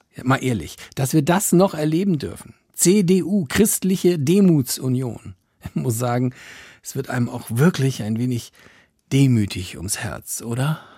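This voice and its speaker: A man's medium-pitched, dark and mellow voice, somewhat breathy, at a fairly slow pace with very wide pitch swings and big swings in loudness, on a very clean recording with a silent background. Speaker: radio satire host. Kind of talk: radio satire show with stand-up style monologue. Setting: studio.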